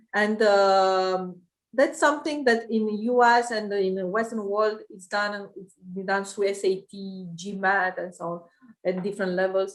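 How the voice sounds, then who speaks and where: A woman with a Romanian accent speaks at medium pitch and a moderate pace, with ordinary pitch variation. Her loudness swings widely, and she leaves long, frequent pauses. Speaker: private equity investor. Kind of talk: interview. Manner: halting, many fillers.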